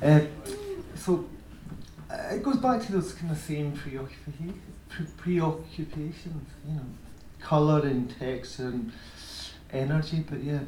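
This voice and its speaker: A man speaks at a fairly slow pace, his voice fairly high in pitch with ordinary pitch variation. Long, frequent pauses break up his speech over noticeable background noise. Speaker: music video director and former musician. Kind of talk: Q&A talk with audience. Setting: stage with audience.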